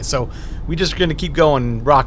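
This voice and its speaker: There is noticeable background noise and audible room echo. A man speaks in a relaxed tone. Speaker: photography vlogger. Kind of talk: casual vlog narration on location. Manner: casual, relaxed.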